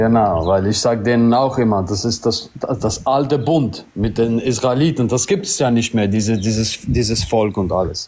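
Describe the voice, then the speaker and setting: At a moderate pace and a very even loudness, a man speaks with ordinary pitch variation over light background noise. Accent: non-native. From Albanian community. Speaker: caller. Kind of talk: casual chat. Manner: halting. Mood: friendly, smiling.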